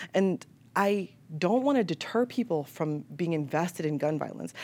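Heard in a very clean recording with a silent background, a woman with an unremarkable speaking voice and an American accent talks at a fairly quick pace and a fairly low pitch with lively intonation. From Chicago. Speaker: media entrepreneur, former TV news staffer. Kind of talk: panel discussion.

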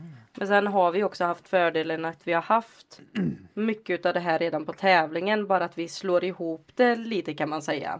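A woman speaks at a moderate pace in a plain, everyday voice, her fairly low pitch showing ordinary variation. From Sweden, Lidköping. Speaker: hip-hop dancer and teacher. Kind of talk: casual chat.

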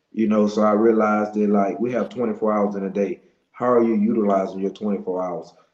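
Delivered in a Louisiana accent, the speech moves at a moderate pace. The intonation is monotone and flat. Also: man, fairly low pitch for a man. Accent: Louisiana Southern US. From Monroe, Louisiana (US South). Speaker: business owner and motivational speaker. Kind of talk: interview testimony.

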